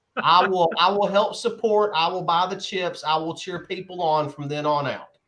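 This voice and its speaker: Bright and sharp in tone, a man's high voice moves at a moderate pace with fairly even intonation. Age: 40s. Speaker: comics shop podcast co-host. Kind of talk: casual chat.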